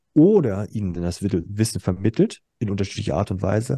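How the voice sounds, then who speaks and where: A man speaks in a dark, mellow tone. The sound is dry and close with no echo, and the background is quiet. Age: 40s. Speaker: school principal. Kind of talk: casual chat.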